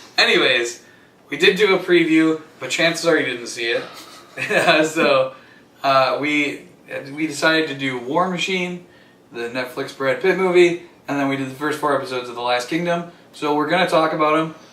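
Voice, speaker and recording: Over noticeable background noise and audible room echo, a man speaks at a moderate pace with long, frequent pauses. His voice is fairly high, with ordinary pitch variation. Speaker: podcast host. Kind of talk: casual chat.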